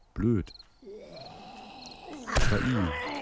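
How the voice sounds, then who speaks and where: A man is heard in a dry sound with no echo, with noticeable background noise. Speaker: let's play gamer; gamer. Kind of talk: casual gameplay commentary. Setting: home recording, muffled microphone.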